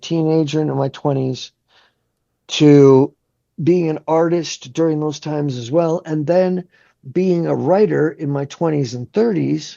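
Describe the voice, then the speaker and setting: Speaking fairly slowly with a Canadian accent, a man has a plain, everyday voice, a fairly high pitch and ordinary pitch variation. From western Canada. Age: 50s. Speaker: voice actor. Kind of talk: podcast interview.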